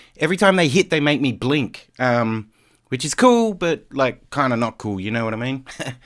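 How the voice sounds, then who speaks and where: On a very clean recording with a silent background, a man with an Australian accent speaks at a medium pitch. His intonation is lively and his pace moderate. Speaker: DJ. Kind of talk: live stream commentary. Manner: casual, filler-heavy.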